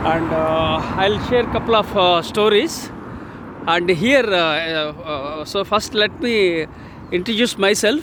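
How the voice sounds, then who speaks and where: A man with an Indian accent speaks at a fairly slow pace in a high voice with ordinary pitch variation, over noticeable background noise. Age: 60s. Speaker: author and leadership speaker. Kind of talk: casual talk to camera while walking. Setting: outdoors. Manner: hesitant, many fillers.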